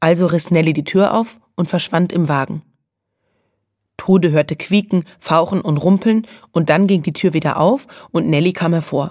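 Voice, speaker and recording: A woman speaks at a moderate pace with a fairly low pitch and ordinary pitch variation. She leaves long, frequent pauses, and the recording is very clean with a silent background. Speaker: audiobook narrator. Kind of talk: children's audiobook reading.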